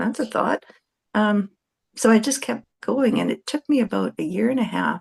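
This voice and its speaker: Vocal fry from a woman at a fairly high pitch, with ordinary pitch variation and a moderate pace, in a dry, close sound with no echo. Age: 60s. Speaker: podcast guest. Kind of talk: casual chat.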